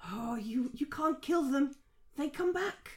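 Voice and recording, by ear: A put-on character voice comes through high and raspy. The pace is fairly slow.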